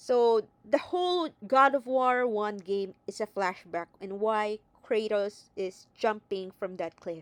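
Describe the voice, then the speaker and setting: Very slow speech with lively intonation and a non-native accent. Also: woman, fairly high pitch for a woman. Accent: non-native accent, self-noted. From neither Greece nor US. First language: not English. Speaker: video game commentator. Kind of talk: casual video commentary. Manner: hesitant, with fillers.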